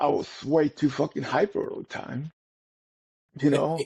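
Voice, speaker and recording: The intonation is monotone and flat. A man speaks at a moderate pace. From Puerto Rico. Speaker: army veteran, podcast co-host. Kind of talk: casual chat. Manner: halting.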